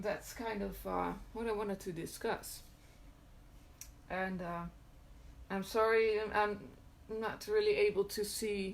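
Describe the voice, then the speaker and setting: With a non-native accent, a woman speaks at a medium pitch and a fairly slow pace, her flat, monotone delivery broken by long, frequent pauses. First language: not English. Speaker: occult content creator. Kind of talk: live stream talk. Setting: live video stream. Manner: halting, many filler words.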